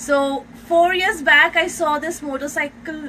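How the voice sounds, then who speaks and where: A woman's raised, projected voice in an Indian accent, over noticeable background noise. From India (Mumbai). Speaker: solo motorcycle traveler. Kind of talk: casual interview.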